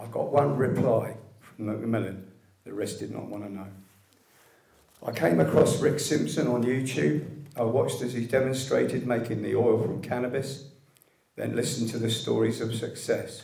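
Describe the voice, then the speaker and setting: A man with a British accent speaks at a moderate pace and medium pitch. His pitch variation is ordinary, while his loudness swings widely. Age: 60s. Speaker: liver cancer patient, medical cannabis activist. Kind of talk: public speech at an event. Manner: reading from a script.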